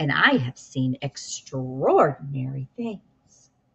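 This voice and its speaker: A female-sounding put-on character voice sits at a low-to-middle pitch. It moves at a very slow pace. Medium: read story.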